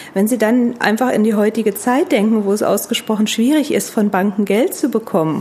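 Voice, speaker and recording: A woman talks at a fairly quick pace and fairly high pitch with lively intonation. Noticeable background noise is present. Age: 40s. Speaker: tax advisor. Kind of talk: expert interview.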